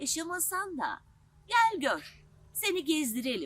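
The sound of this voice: A woman puts on a character voice, pitched high with very wide pitch swings. Her tone is fairly bright and her pace fairly slow.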